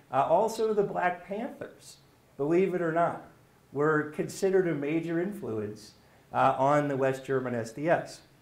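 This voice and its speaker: At a fairly slow pace and fairly high pitch, a man speaks with lively intonation amid audible room echo. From US. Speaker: history professor; lecturer. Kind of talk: lecture. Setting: stage with audience. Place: classroom. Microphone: camera far.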